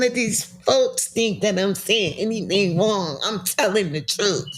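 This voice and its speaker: A woman at a very slow pace with lively intonation. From US South, South Carolina. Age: 60s. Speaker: cancer survivor. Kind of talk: testimony. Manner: animated.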